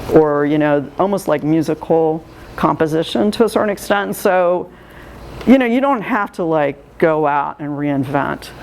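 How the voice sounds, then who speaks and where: A woman speaks with a very deep, low pitch at a moderate pace. Her pitch varies in an ordinary way over noticeable background noise. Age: 60s. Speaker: art juror. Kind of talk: art critique talk. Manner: hesitant, many fillers.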